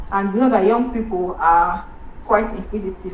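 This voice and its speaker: Here a woman speaks at a medium pitch with fairly even intonation. Noticeable background noise runs underneath. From Nigeria. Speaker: medical doctor. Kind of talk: motivational speech.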